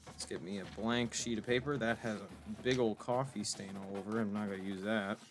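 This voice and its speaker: With a plain, everyday voice, a man at a fairly low pitch speaks in fairly even intonation with hardly any pauses. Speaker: gaming YouTuber. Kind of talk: casual gameplay commentary. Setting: bedroom.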